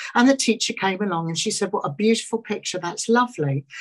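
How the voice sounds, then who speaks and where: A woman speaks with a London accent at medium pitch. Her voice is somewhat breathy, with lively intonation. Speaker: small business owner and panel speaker. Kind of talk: personal talk at online panel. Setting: video call.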